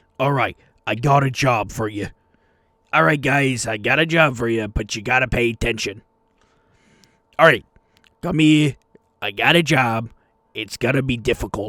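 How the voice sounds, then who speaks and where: In a gruff put-on character voice, a man speaks at a moderate pace and medium pitch, with long, frequent pauses. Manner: brusque, commanding.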